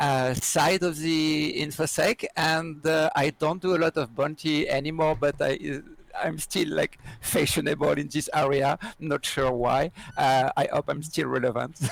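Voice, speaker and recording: At a very slow pace, a man speaks at a fairly high pitch. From France. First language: French. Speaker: security researcher and trainer. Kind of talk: interview. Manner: halting with many fillers.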